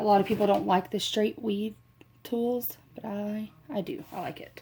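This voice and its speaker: Soft-spoken and somewhat breathy, a woman speaks at a moderate pace in a fairly high voice with a dark, mellow tone. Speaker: crafting tutorial creator. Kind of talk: tutorial. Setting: at home, dim room. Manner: soft, low-volume talking.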